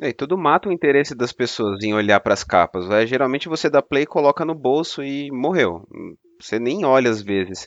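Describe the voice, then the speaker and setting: An ordinary speaking voice from a man, medium in pitch, at a moderate pace with lively intonation, in a dry, close sound with no echo against a quiet background. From São Paulo city, Brazil. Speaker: fraud prevention analyst, anime fan. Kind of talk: casual chat.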